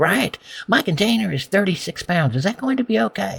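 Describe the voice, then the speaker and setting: Putting on a character voice, a man talks at a fairly quick pace in a high pitch with very wide pitch swings. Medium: read story. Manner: eager, polite.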